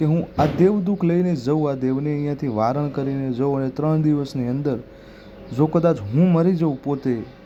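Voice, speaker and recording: A man talks with ordinary pitch variation at a fairly high pitch. Background music plays behind him. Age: young. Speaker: YouTube devotional channel host. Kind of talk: explainer talk to camera.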